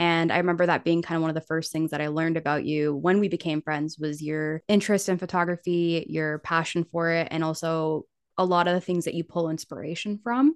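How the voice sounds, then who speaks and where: A woman talks at a fairly quick pace with hardly any pauses, her pitch fairly low. The sound is dry and close with no echo, and the background is quiet. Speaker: podcast host. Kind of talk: casual chat. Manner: friendly, enthusiastic.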